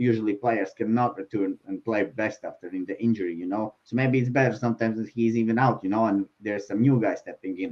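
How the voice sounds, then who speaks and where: Speaking fairly quickly with a non-native accent, a man keeps a medium pitch and fairly even intonation. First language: not English. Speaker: sports betting show panelist. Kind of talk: casual chat. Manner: halting, many fillers.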